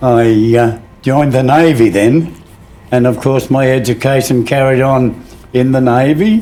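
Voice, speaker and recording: With an Australian accent, a man speaks at a fairly slow pace in a medium pitch, with ordinary pitch variation and very even loudness. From Sydney, Australia. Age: 90s. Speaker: navy veteran, former clearance diver. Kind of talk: interview. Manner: halting, with frequent fillers.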